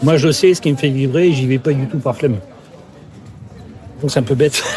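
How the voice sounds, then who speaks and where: A man with a fairly high pitch talks with fairly even intonation over noticeable background noise. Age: 60s. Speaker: career counselor. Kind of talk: interview. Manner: halting, many fillers and repetitions.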